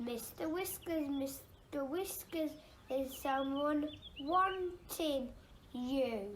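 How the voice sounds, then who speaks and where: A female-sounding put-on character voice, pitched high, moves at a very slow pace. Clear background noise runs behind it. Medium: read story. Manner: cross.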